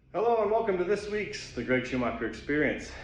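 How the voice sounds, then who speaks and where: Music plays in the background while a man speaks with very wide pitch swings. Room echo is audible. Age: 40s. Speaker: podcast co-host giving a fitness segment. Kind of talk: motivational monologue segment; casual chat.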